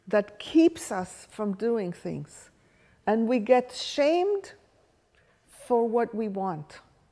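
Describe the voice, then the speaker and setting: A woman speaks very slowly with an Israeli accent, leaving long, frequent pauses. Her fairly high voice has a dark, mellow tone and very wide pitch swings. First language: Hebrew. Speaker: workshop leader. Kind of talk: lecture.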